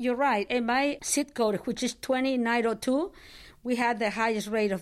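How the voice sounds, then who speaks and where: A woman with a Spanish accent speaks at a fairly high pitch in a very clean recording with a silent background. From Nicaragua. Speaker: pastor and nurse. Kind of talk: interview.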